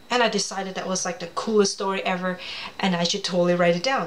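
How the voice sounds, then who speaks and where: This woman speaks with a Cantonese accent. Noticeable background noise runs underneath. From Hong Kong. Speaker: children's author. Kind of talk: personal storytelling presentation. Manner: casual, chatty.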